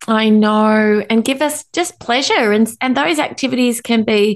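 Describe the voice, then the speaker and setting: A woman's fairly high voice with an Australian accent, moderate pace and ordinary pitch variation. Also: quiet background. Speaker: anxiety educator and author. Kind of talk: interview.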